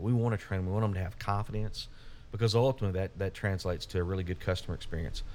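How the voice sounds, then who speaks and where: At a very fast pace, a man with an Arkansas accent speaks in a dark, mellow tone, his pitch fairly low with ordinary variation. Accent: Southern US (Arkansas). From US South, Little Rock, Arkansas. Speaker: utility company CEO. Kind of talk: casual interview.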